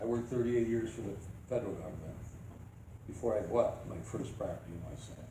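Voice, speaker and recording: A man talks very fast with long, frequent pauses and big swings in loudness, amid noticeable background noise and audible room echo. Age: 70s. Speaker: resident speaking at public comment. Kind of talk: public comment at town meeting. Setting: town board meeting.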